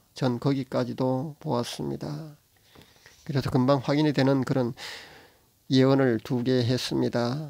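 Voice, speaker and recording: A man with a dark, mellow tone and medium pitch, fairly even intonation, a fairly slow pace and long, frequent pauses. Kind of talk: religious monologue to camera. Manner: halting, stumbling speech.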